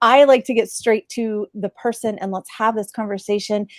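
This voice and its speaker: Recorded very cleanly with a silent background and a dry, close sound with no echo, a woman speaks at a moderate pace. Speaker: talk show host. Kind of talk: live video interview. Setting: live stream. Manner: casual, laid back.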